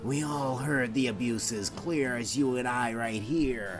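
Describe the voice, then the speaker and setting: Over loud music in the background, a put-on character voice sits at a low-to-middle pitch. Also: fairly slow pace. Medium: read story.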